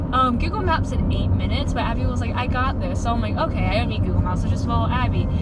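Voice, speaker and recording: A woman talks at a very fast pace. Loud background noise runs throughout. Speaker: vlogger driver. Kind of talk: casual vlog chat. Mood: playful, exasperated. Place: car.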